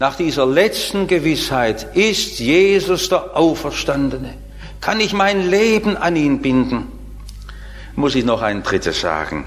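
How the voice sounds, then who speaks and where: Noticeable background noise fills the recording. Through it, a man talks at a very slow pace. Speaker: preacher. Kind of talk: sermon. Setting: church. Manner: formal; earnest.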